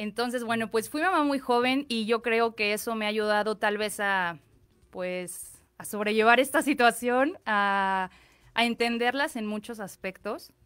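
In a quiet setting, a woman speaks at a fairly slow pace. Her pitch is fairly high, with ordinary variation. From Mexico. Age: 30s. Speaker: fashion designer; guest. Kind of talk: interview. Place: studio. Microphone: studio mic.

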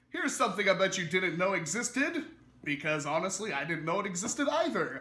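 Very wide pitch swings mark this raised, projected voice. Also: man. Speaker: toy blaster reviewer. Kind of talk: casual product review to camera.

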